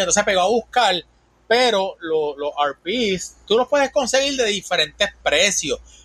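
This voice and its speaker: A man speaks with a Puerto Rican accent. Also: dry, close sound with no echo. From Puerto Rico. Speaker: van-life content creator. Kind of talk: casual chat.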